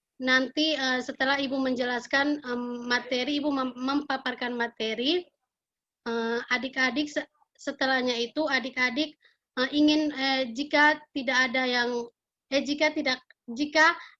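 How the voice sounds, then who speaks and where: At a moderate pace, a woman with a high pitch uses a raised, projected voice and monotone, flat intonation. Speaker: school counselor. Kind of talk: classroom guidance lesson. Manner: halting, many fillers.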